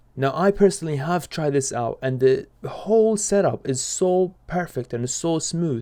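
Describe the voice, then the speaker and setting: The speaker has a non-native accent and a dark, mellow tone, with lively intonation. The pace is moderate with hardly any pauses, on a very clean recording with a silent background. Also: man, high pitch for a man. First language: not English. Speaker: gaming YouTuber. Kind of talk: video commentary.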